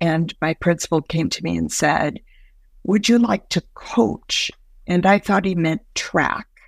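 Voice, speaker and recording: At a fairly slow pace, a woman with a fairly low pitch speaks with lively intonation and vocal fry, in a very clean, silent-background recording with a dry, close sound and no echo. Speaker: educational coaching expert. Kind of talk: coaching conversation. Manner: reflective, appreciative.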